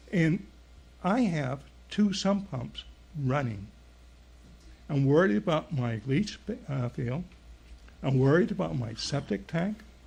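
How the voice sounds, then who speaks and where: Speaking fairly slowly with long, frequent pauses, a man with an American accent uses a fairly high pitch, very wide pitch swings and vocal fry. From Maine, US. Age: 70s. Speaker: resident speaking at public comment. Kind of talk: public comment at town meeting. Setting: town board meeting.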